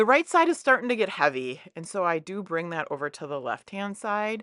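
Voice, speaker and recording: A woman speaks in an animated tone with lively intonation, recorded with a dry, close sound, no echo and a quiet background. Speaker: scrapbooking youtuber. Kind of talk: crafting tutorial voiceover. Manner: fast.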